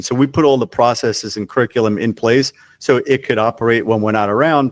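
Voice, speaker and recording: A man with an unremarkable speaking voice talks at a medium pitch and fairly quick pace. The intonation is fairly even, and the recording is very clean, dry and close, with no echo and a silent background. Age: 60s. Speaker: cooking school co-founder and franchisor. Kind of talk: interview conversation.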